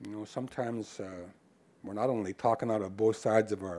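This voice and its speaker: This man's voice has a dark, mellow tone. His pitch sits fairly low. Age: 60s. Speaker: First Nations hereditary chief. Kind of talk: lecture. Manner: casual, conversational.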